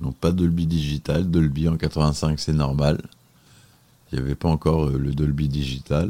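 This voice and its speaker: A man with a very deep, low voice and a dark, mellow tone speaks in a flat monotone. His pace is fairly slow, with long, frequent pauses. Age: 40s. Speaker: film reviewer. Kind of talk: solo film review podcast. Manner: hesitant, many filler sounds.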